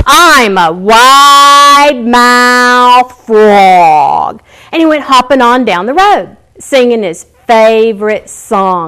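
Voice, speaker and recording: Putting on a character voice, a woman speaks at a high pitch and a very slow pace. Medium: solo performance. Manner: bouncy, exaggerated wide-mouthed.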